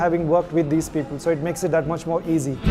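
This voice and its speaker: Noticeable background noise sits behind a man with an Indian accent. His pitch is high and his intonation fairly even. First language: Kodava Takk. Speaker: actor. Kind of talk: interview.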